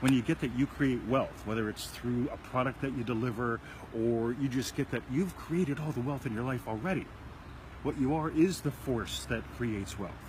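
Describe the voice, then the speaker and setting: A somewhat breathy, medium-pitched male voice with ordinary pitch variation. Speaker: self-help video show host. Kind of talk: casual chat. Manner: fast.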